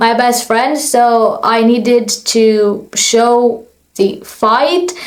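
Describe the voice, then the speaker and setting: A woman talks at a very slow pace with a high pitch and fairly even intonation. Her loudness stays very even, and audible room echo can be heard. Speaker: vlogger and aspiring actress. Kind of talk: story time vlog.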